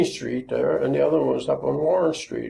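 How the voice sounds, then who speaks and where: Noticeable background noise sits behind a man speaking. He has an American accent and keeps a moderate pace. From Maryland, US. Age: 80s+. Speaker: local elder sharing memories. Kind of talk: oral history interview. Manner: halting.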